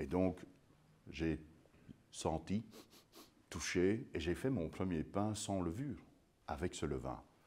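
A man with a very deep, low pitch and a dark, mellow tone speaks very slowly with vocal fry, lively intonation and long, frequent pauses. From Belgium. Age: 50s. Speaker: sourdough expert and baker; guest. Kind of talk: public lecture. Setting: museum talk with live audience. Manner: animated. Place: hall.

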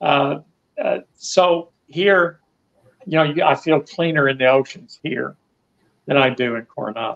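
With an American accent, a man of fairly high pitch speaks at a fairly slow pace, using ordinary pitch variation and long, frequent pauses. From US South. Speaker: retired expat. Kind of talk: interview. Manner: halting, repeats words.

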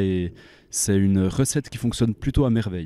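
A man speaks at a fairly low pitch with a dark, mellow tone. The sound is dry, with no echo. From French-speaking Switzerland. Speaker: metal band member. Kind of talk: band interview. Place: hall. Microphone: handheld.

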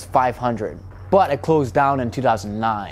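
Music plays in the background while a man speaks with lively intonation. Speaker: urban explorer vlogger. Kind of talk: casual vlog history narration.

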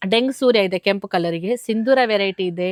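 Here a woman uses a normal speaking voice at a medium pitch. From coastal Karnataka, Kundapura taluk. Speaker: farmer. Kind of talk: interview.

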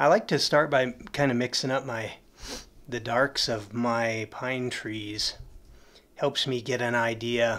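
Very slowly, a man speaks with an American accent and ordinary pitch variation. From Colorado, USA. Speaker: oil painter. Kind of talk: live painting demonstration. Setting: studio. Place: studio.

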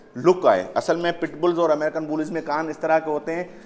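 Against light background noise, a man talks at a moderate pace with fairly even intonation. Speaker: dog breeder vlogger. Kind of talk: casual vlog chat. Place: garage. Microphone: lapel.

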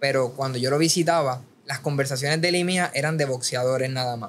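A man with a plain, everyday voice, fairly high in pitch, speaks at a fairly quick pace with fairly even intonation over light background noise. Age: 20s. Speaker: boxing content creator; podcast guest. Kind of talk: casual chat. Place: studio. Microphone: studio mic.

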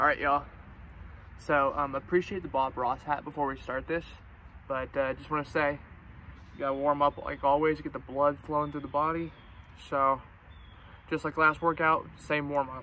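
Bright and sharp in tone, a man speaks at a moderate pace in a flat monotone with long, frequent pauses, the sound dry with no echo over light background noise. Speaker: fitness vlogger. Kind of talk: casual vlog chat.

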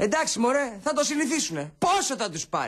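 The background is quiet. The speech goes at a fairly slow pace. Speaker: actor in TV drama. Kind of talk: scripted drama dialogue. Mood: exasperated, sarcastic. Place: home room.

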